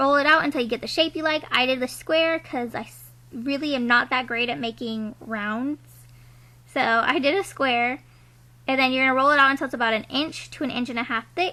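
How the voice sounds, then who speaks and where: A woman projects her raised voice at a high pitch with ordinary pitch variation. Her pace is fairly quick. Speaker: lifestyle vlogger. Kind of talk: tutorial. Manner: casual, filler-heavy.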